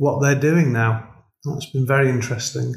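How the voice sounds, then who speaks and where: This man speaks at a moderate pace in a fairly high pitch, somewhat breathy and with monotone, flat intonation. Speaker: golf club director, former pro golfer. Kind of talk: casual chat. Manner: hesitant, many fillers.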